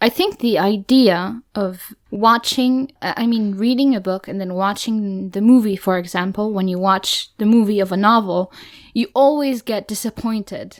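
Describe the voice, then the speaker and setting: On a very clean recording with a silent background, a woman with a German accent speaks at a medium pitch and moderate pace, with ordinary pitch variation and hardly any pauses. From Germany. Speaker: book podcast co-host. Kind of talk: casual chat.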